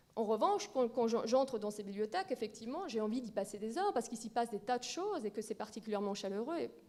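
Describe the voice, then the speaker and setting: Very fast and with hardly any pauses, a woman of fairly high pitch speaks with lively intonation. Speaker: librarian, round-table speaker. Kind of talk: conference talk.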